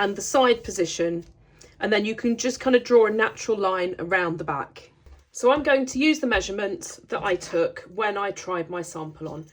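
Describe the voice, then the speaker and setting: Speaking with a British accent, a woman's pitch sits fairly high and swings very widely. She keeps a moderate pace. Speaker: sewing tutor. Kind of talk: tutorial.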